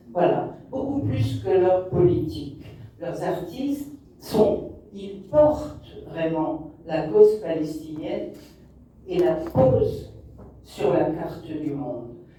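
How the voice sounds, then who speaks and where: A woman with a fairly low pitch speaks very slowly, with long, frequent pauses, very wide pitch swings and big swings in loudness. Noticeable background noise and audible room echo surround her. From Morocco. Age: 60s. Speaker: documentary filmmaker. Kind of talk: interview answer. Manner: hesitant, many fillers.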